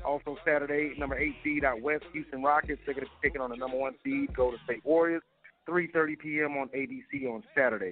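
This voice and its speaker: A man has an ordinary speaking voice with a fairly high pitch. He uses ordinary pitch variation. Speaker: sports reporter. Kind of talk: news reading.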